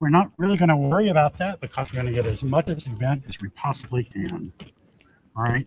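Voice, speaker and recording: Very fast and somewhat breathy, a man talks at a fairly high pitch with lively intonation. The sound is dry and close, without echo. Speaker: political candidate and event host. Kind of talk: live stream commentary at event. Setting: auditorium, live stream. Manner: casual, informal. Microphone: poor streaming quality, some can't hear.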